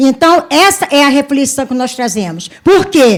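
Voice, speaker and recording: A woman speaks at a fairly slow pace in a high voice. Her intonation is lively. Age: 60s. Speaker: actress. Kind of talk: audience remark at panel.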